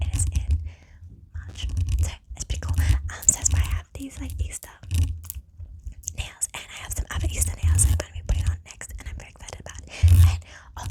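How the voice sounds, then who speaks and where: A whisper in a gentle tone at a fairly quick pace, broken by long, frequent pauses, with big swings in loudness over noticeable background noise. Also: woman. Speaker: ASMR content creator. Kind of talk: ASMR whisper ramble to camera. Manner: gentle, whispering, chatty.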